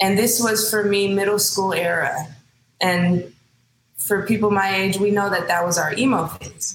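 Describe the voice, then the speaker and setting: In a room with audible echo, a woman talks at a moderate pace in a Californian accent. Her medium-pitched voice is somewhat breathy, with ordinary pitch variation. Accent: Californian American English. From San Francisco Bay Area, Hayward. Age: 30s. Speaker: singer. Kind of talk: casual interview.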